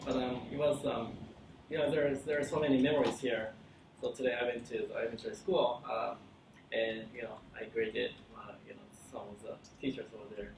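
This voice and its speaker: A man talks at a fairly quick pace, leaving long, frequent pauses, and his loudness swings widely. The room echo is audible, and there is noticeable background noise. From Japan, Kyoto. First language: Japanese. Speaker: company founder and CEO. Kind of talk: conference talk. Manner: halting, many fillers and restarts.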